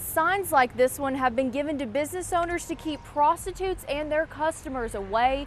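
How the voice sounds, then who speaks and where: A woman speaks at a moderate speed, her pitch varying in an ordinary way, while noticeable background noise sits behind her. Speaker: TV news reporter. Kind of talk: TV news report.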